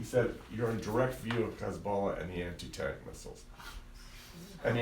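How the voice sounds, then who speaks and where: A man's medium-pitched, animated voice with audible room echo. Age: 60s. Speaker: lawyer giving a travel briefing. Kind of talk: talk with slides to a live audience. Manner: animated storytelling.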